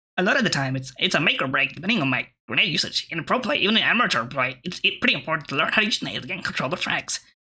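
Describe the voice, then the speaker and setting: A put-on character voice at a middle pitch rattles along at a very fast pace. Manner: nerdy, pedantic.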